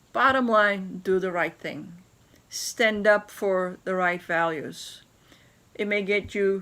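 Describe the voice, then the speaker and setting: A fairly slow delivery in a non-native accent. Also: woman. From Turkey. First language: not English. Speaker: business leader. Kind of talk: interview storytelling.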